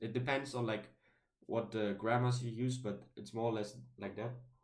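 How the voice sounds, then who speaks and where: Audible room echo surrounds a man at a medium pitch who speaks at a moderate pace in a German accent. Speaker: YouTuber talking about linguistics. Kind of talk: casual video monologue. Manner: halting, many fillers and restarts.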